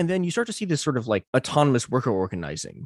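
A man with a fairly high pitch talks at a very fast pace with very wide pitch swings, in a dry, close sound with no echo against a quiet background. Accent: American. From US, Chinese American community. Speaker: writer and researcher. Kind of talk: interview conversation. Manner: halting, many repetitions.

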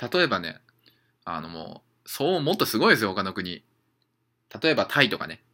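His tone is bright and sharp, with very wide pitch swings. The man moves at a fairly quick pace but leaves long, frequent pauses. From Japan, Saitama. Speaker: traveling udon chef and podcaster. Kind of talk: casual solo podcast monologue. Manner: casual, many fillers and self-corrections.

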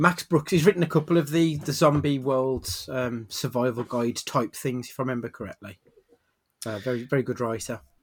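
Talking at a fairly quick pace, a man speaks with a British accent. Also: medium pitch for a man, ordinary pitch variation. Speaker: podcast host. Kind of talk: casual chat.

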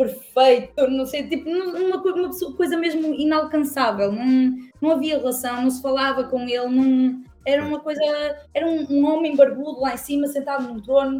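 Her pitch is high and her intonation fairly even. This woman speaks at a moderate pace. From northern Portugal (Gaia). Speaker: church community member. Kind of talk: casual chat. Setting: livestream.

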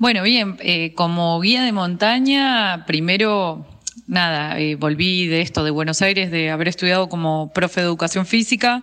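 Woman's bright, sharp tone at a fairly slow pace. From Argentina, Bariloche (Patagonia). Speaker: mountain guide and ski instructor. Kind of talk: interview. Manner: hesitant, many fillers.

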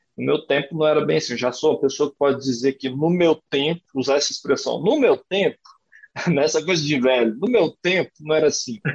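With ordinary pitch variation, a normal speaking voice goes along at a fairly quick pace. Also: man, fairly high pitch for a man. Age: 30s. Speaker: writer and creative writing teacher. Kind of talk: casual interview.

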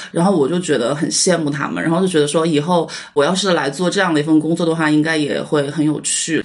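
Very deep and low in pitch, a woman talks at a very fast pace with hardly any pauses and fairly even intonation, amid noticeable background noise and audible room echo. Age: 30s. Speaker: English tutor. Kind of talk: personal testimony.

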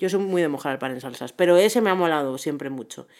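Husky and fairly low, a woman's voice moves at a fairly quick pace. Her pitch variation is ordinary. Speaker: podcast co-host. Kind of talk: casual chat.

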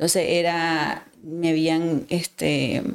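Very slow speech from a woman with a fairly low pitch. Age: 40s. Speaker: gynecologist and fertility specialist. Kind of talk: casual interview conversation. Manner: hesitant, many fillers.

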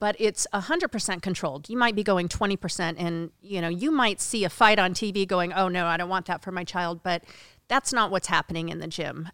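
A woman with an American accent speaks at a fairly quick pace in a fairly low pitch, her bright, sharp tone carrying ordinary pitch variation over a dry, close sound with no echo on a very clean recording with a silent background. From Oregon. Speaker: MMA commentator and ring announcer. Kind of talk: casual interview chat. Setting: studio.

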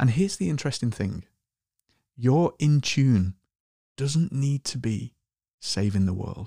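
A man with a dark, mellow, somewhat breathy tone and medium pitch speaks at a fairly slow pace with long, frequent pauses and lively intonation. The very clean recording has a silent background and a dry, close sound with no echo. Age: 40s. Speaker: podcast host. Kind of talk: reflective monologue.

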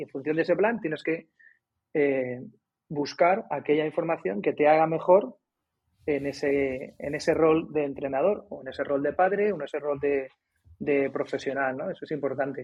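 A man speaks at a moderate pace with fairly high pitch and ordinary pitch variation. It is an ordinary speaking voice. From Madrid, Spain. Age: 50s. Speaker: basketball coach and author. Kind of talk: casual interview.

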